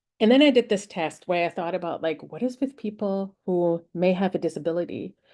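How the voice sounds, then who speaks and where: In a German accent, a woman speaks at a moderate pace with a dark, mellow tone and ordinary pitch variation against a quiet background. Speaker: researcher and speaker on AI hiring tools. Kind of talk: conference talk. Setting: virtual summit presentation. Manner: halting, many filler words.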